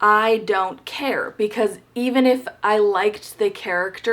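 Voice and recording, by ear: Someone reads aloud in a natural voice. The pitch moves up and down in an ordinary way.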